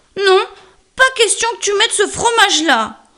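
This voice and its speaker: A put-on character voice, female-sounding and extremely high in pitch. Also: moderate pace. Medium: read story.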